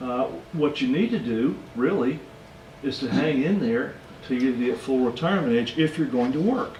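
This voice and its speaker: With noticeable background noise and audible room echo, a man talks at a fairly slow pace using lively intonation. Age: 60s. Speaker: financial educator. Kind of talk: lecture.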